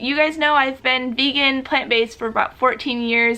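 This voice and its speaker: A woman speaks with lively intonation and a moderate pace, noticeable background noise present throughout. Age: 30s. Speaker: YouTuber. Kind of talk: casual chat. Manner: animated.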